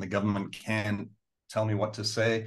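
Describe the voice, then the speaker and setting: A man with an American accent speaks at a fairly low pitch and moderate pace in a monotone, flat intonation against a quiet background. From England, then Southern California. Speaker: bank lawyer. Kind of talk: interview.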